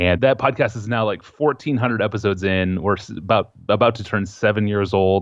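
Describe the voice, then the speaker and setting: A man with an ordinary speaking voice talks at a fairly quick pace and fairly low pitch with ordinary pitch variation. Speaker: author and journalist. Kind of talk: casual interview conversation.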